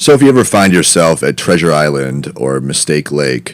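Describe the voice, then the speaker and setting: At a moderate pace, a man talks in a rumbling voice. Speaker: comedy podcast host. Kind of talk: casual comedic monologue.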